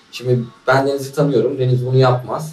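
Amid audible room echo, a man at medium pitch talks at a fairly quick pace in a monotone, flat intonation. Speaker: podcast host. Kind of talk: casual chat.

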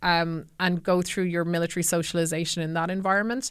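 A woman with an Irish accent and a fairly low voice at a moderate pace, in a very clean recording with a silent background. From Ireland, County Kildare. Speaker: former army officer, tech trust and safety manager. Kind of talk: casual interview. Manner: hesitant, many fillers.

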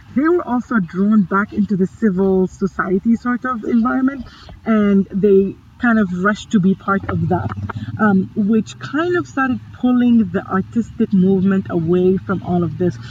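The voice is somewhat breathy and has a lively intonation. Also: woman, medium pitch for a woman, moderate pace. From Sudan, raised in Middle East, Libya and Egypt. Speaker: digital storytelling curator and cultural manager. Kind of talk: casual chat.

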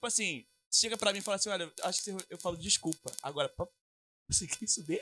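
A raised, projected voice with a bright, sharp tone and ordinary pitch variation, dry and close with no echo. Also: man. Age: 20s. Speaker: guitarist. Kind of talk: casual interview chat.

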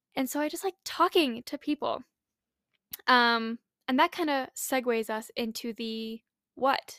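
Over a silent background in a very clean recording, a woman speaks at a fairly slow pace in a high, bright, sharp voice with ordinary pitch variation and a dry, close sound with no echo. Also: long, frequent pauses. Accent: American. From Utah, US. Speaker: podcast host. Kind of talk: casual solo podcast monologue. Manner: chatty, sincere, laughs often.

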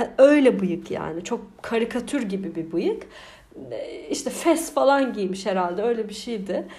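At a fairly slow pace, a woman speaks in a room with audible echo. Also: fairly high pitch for a woman, lively intonation. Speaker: podcaster. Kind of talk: casual monologue. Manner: animated, frequent laughter.

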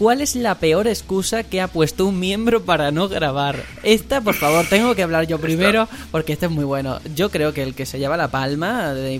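With music in the background, a fairly high-pitched man speaks at a fairly quick pace with lively intonation and hardly any pauses. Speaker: podcast host. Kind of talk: casual chat.

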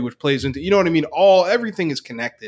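A man talks with an American accent. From Northeast Pennsylvania. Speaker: leadership coach. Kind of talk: interview.

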